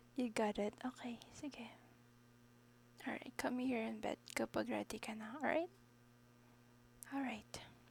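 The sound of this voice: A woman speaks at a fairly high pitch and a slow pace, leaving long, frequent pauses. Her intonation is fairly even, with vocal fry.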